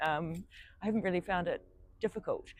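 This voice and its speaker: A woman with a New Zealand accent talks at a medium pitch with fairly even intonation over a quiet background. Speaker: solo traveller. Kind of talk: interview. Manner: hesitant, many fillers.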